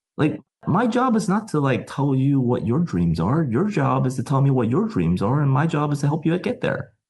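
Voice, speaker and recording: A man with an American accent at a moderate pace, somewhat breathy, very even in loudness, with very wide pitch swings. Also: fairly high pitch for a man. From US Midwest, Chicago. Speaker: tech company founder. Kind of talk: podcast discussion. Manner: passionate, emphatic.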